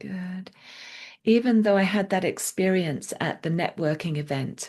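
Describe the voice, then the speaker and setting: Over a quiet background, a woman with a plain, everyday voice speaks at medium pitch and a fairly slow pace, her pitch varying in an ordinary way. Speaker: EFT tapping practitioner. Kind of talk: guided EFT tapping session. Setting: call.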